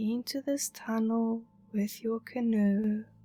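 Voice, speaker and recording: With music in the background, a woman speaks very slowly at a fairly high pitch, her tone soothing and her intonation monotone and flat. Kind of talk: guided meditation narration. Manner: slow, calming, soothing.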